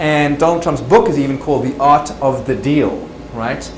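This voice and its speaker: The recording carries audible room echo. Noticeable background noise sits behind it. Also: man. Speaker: success trainer and speaker. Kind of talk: lunch presentation. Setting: presentation with live audience. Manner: fast.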